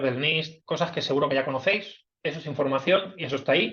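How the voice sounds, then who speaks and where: The voice belongs to a man. Its intonation is fairly even throughout. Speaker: cybersecurity director, invited speaker. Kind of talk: webinar talk. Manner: hesitant, many fillers.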